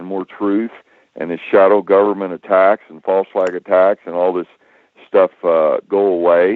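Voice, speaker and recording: A man with an American accent and a fairly low pitch has an ordinary speaking voice and talks at a moderate pace. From United States. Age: 60s. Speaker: whistleblower. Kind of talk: roundtable discussion.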